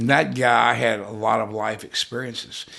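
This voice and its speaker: Man's voice with vocal fry against a quiet background. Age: 60s. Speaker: music photographer. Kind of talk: casual chat. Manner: halting.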